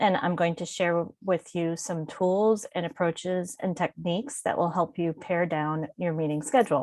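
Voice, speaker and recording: This is a woman with a plain, everyday voice. Her pitch sits fairly low. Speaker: workshop presenter and publishing consultant. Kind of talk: webinar presentation. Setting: online webinar.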